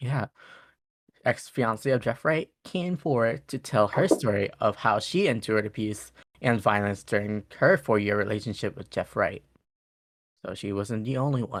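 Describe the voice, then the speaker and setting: A man's medium-pitched voice shows ordinary pitch variation, heard on a very clean recording against a silent background. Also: moderate pace. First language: not English. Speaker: podcast co-host. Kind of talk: reading case notes aloud. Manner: halting.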